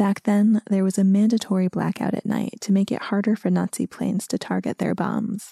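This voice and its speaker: In a dry, close recording with no echo and a silent background, a woman with an American accent speaks in a somewhat breathy, dark, mellow tone with monotone, flat intonation. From US. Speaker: podcast host. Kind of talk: scripted narration.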